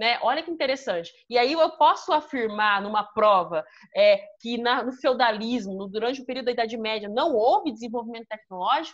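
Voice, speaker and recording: With a Brazilian accent, a woman speaks at a fairly quick pace in a high pitch and lively intonation. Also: hardly any pauses. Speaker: history teacher. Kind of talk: online class lecture.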